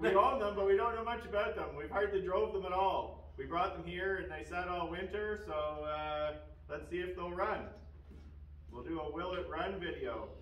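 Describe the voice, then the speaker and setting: A man is speaking at a moderate pace. Audible room echo surrounds his voice. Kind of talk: casual vlog chat. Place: garage.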